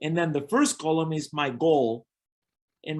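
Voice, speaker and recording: The speaker is a man with a Spanish accent. He talks at a moderate pace. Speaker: network marketing coach. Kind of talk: business training webinar.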